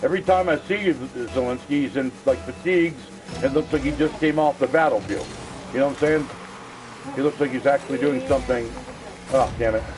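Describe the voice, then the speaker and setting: Lively intonation at a fairly quick pace, with long, frequent pauses and music in the background. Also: man. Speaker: gaming livestreamer. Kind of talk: casual chat. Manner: animated.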